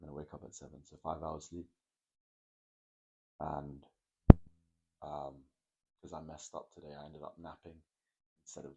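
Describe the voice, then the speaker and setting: With vocal fry and a very deep, low pitch, a man talks at a moderate pace in monotone, flat intonation, leaving long, frequent pauses. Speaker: fitness vlogger and mentor. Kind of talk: late-night vlog monologue.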